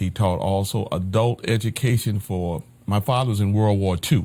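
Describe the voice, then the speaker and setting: A man with an American accent speaks at a fairly low pitch. His tone is dark and mellow, with ordinary pitch variation. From north Florida (Madison, Jacksonville). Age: 70s. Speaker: pastor. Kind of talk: life story interview. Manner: halting.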